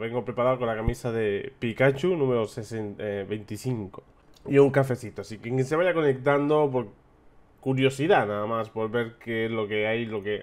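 Here a man talks at a medium pitch in a slightly mellow tone. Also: ordinary pitch variation, moderate pace.

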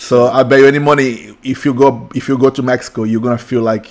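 A man speaks with a Portuguese accent. His intonation stays monotone and flat. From Brazil, São Paulo. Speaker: tattoo artist; podcast host. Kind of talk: casual chat. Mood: warm, happy. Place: studio. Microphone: studio mic.

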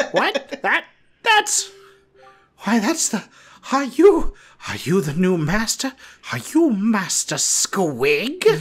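Putting on a character voice, a man speaks at an extremely high pitch and a very slow pace, with very wide pitch swings and long, frequent pauses. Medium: game stream. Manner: formal, deferential.

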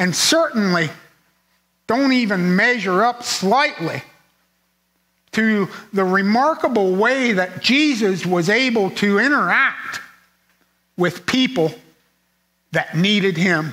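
A man in a raised, projected voice, high in pitch with lively intonation, at a very slow pace with long, frequent pauses, over a quiet background. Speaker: preacher. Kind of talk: sermon; fervent prayer, sincere and pleading. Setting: church. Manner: earnest, measured, reflective; heartfelt, solemn, fervent in prayer. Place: church.

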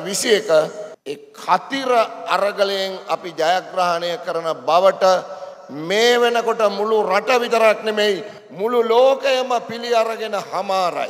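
Speaking at a very slow pace, a man uses a high pitch with ordinary pitch variation. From Sri Lanka. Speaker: trade union leader; speaker. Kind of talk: political rally speech. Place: hall. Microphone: podium.

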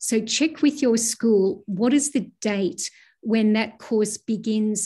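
A woman speaks very slowly with a fairly high pitch and a dark, mellow tone. Her voice is somewhat breathy against a quiet background. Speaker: university vice provost. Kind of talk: formal address to students. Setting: video call. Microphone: video call.

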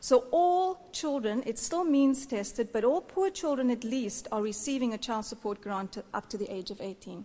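A woman speaks with hardly any pauses at a moderate pace, her high voice carrying a dark, mellow tone and lively intonation. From South Africa. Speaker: NGO worker on cash transfers; conference speaker. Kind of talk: conference speech. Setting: stage with audience. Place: hall. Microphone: podium.

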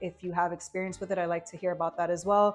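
Faint music sits behind a woman who talks very fast in a monotone, flat intonation. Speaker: firearm reviewer. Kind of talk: casual product review. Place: studio.

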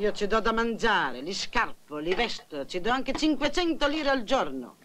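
Light background noise sits beneath speech delivered fairly slowly. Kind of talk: film dialogue. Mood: complaining, self-righteous. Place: home room.

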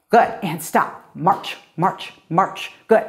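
Here a woman talks. The rise and fall of her pitch is ordinary. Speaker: fitness instructor. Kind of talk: workout instruction. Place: studio.

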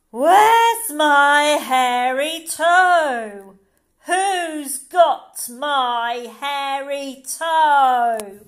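A woman's put-on character voice, high in pitch, at a very slow pace. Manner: eerie, menacing.

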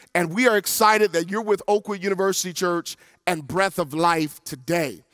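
With music in the background, a man speaks at a high pitch in a dry sound with no echo. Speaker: church pastor hosting an interview. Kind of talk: interview host introduction. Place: studio. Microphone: headset.

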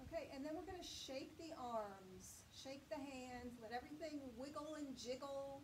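A woman's high-pitched voice with ordinary pitch variation and hardly any pauses over noticeable background noise. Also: moderate pace. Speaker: chair yoga instructor. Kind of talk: guided yoga class with spoken movement and breath cues. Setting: online video class. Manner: gentle, encouraging, steady pace. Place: home room.

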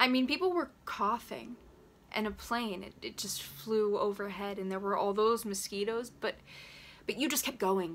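A woman at a moderate pace with ordinary pitch variation, over light background noise. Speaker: actor performing a monologue. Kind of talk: acted monologue.

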